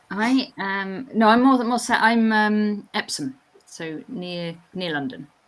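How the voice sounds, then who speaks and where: A woman with a southern English accent speaks very slowly at a fairly high pitch, with lively intonation and big swings in loudness, on a very clean recording with a silent background. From England. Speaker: chess commentator. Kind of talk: live commentary. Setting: live stream.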